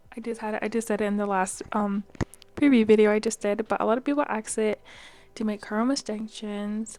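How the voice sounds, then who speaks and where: A soft-spoken woman's medium-pitched voice, monotone and flat, with music in the background. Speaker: YouTuber. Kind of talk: casual vlog tutorial. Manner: hesitant, many fillers.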